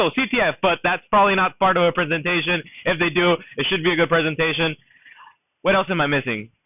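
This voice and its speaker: A man speaks loudly at a fairly quick pace in a high pitch. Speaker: cyber range organizer. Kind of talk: event announcements. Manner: halting, many fillers.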